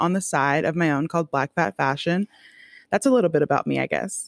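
In a very clean recording with a silent background and a dry, close sound with no echo, a woman talks at a fairly low pitch with ordinary variation. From Miami, Florida. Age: 20s. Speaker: journalist and podcaster. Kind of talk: casual interview chat.

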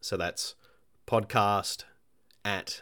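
With an Australian accent, a man talks at a very slow pace on a very clean recording with a silent background. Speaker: indie game developer and podcast host. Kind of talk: solo podcast monologue. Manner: halting, many fillers.

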